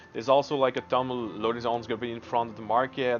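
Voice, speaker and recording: Music plays in the background as a man speaks at medium pitch with fairly even intonation. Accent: non-native. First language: not English. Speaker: gaming video creator. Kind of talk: tutorial. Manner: halting.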